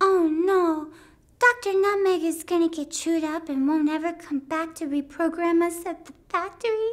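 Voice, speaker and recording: A put-on character voice is heard here. It moves along at a moderate pace. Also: female-sounding voice, extremely high pitch for a woman. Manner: wide-eyed, dramatic.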